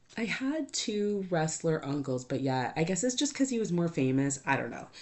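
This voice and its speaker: Loud and animated, a woman talks at a moderate pace, her pitch swinging very widely. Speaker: podcast host. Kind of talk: casual monologue.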